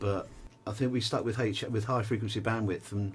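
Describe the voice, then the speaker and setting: Speaking at a very fast pace, a man with an English accent has a fairly low pitch. His voice is somewhat breathy, with fairly even intonation. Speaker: musician. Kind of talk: casual interview.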